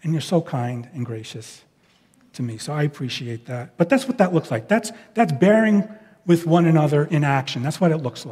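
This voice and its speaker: A man with a New York accent has a fairly high pitch, very wide pitch swings and big swings in loudness, speaking at a moderate pace in a dark, mellow, somewhat breathy tone. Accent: New York speech patterns. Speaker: pastor. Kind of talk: sermon. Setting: church.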